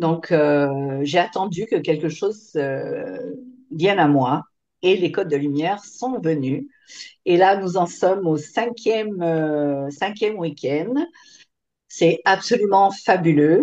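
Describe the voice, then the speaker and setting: At a very slow pace, the voice has a dark, mellow tone and lively intonation. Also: woman, fairly low pitch for a woman. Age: 60s. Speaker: former kinesiologist, course participant. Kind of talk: testimony. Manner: hesitant, many fillers.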